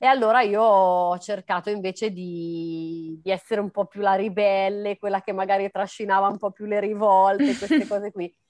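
An unremarkable speaking voice from a woman at medium pitch and moderate pace, fairly even in intonation, with hardly any pauses, dry and close with no echo. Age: 30s. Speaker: dancer, model and life coach. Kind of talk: interview.

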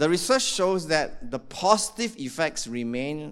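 The speaker talks at a fairly slow pace with an animated tone. The pitch swings very widely. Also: man. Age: 60s. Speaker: pastor. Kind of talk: sermon. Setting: church.

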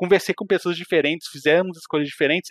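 The man's voice is high-pitched, with a dry, close sound and no echo. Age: 30s. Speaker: video game enthusiast and RPG specialist. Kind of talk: casual chat.

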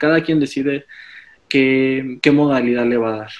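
A man with a Mexican accent and fairly even intonation. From Mexico. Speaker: fashion stylist. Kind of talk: casual chat.

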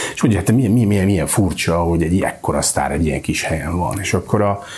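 With ordinary pitch variation and a very fast pace, a man speaks over noticeable background noise. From Hungary, north shore of Lake Balaton. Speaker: festival director and founder. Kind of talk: podcast interview.

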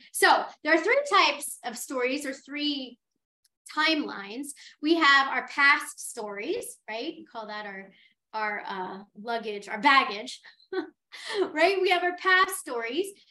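A woman's high, bright, sharp voice is raised and projected, moving at a very slow pace with very wide pitch swings and big swings in loudness. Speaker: podcast host. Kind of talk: casual, conversational.

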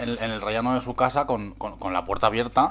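A man with an unremarkable speaking voice talks at a fairly quick pace with fairly even intonation. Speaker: podcast co-host. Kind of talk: casual chat.

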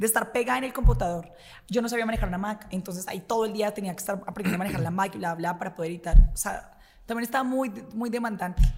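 A woman's medium-pitched voice, very fast, with ordinary pitch variation. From Colombia, Bogotá. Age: 20s. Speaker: radio host. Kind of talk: casual chat.

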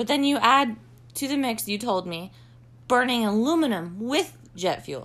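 A woman with an unremarkable speaking voice and lively intonation. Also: fairly high pitch for a woman, moderate pace. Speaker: podcast host. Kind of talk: casual chat. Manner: joking.

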